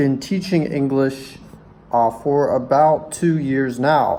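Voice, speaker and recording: The speaker has an American accent and fairly even intonation. Noticeable background noise is present. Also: man. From US Mid-Atlantic, Maryland. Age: 20s. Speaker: English teacher. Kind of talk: video application introduction. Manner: hesitant, many filler sounds.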